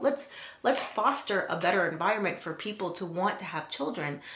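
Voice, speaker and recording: A woman talks at a fairly quick pace in an animated tone with lively intonation. Noticeable background noise and audible room echo fill the recording. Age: 40s. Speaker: nail art youtuber. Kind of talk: casual haul video with rant.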